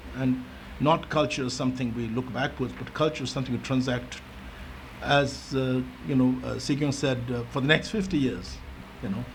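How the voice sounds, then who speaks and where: Amid noticeable background noise and audible room echo, a man talks at a moderate pace with a medium pitch and fairly even intonation. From India (Darjeeling, Delhi), Tibetan exile. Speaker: education advisory committee member. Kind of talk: meeting discussion remarks. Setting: conference meeting. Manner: hesitant, many fillers and restarts.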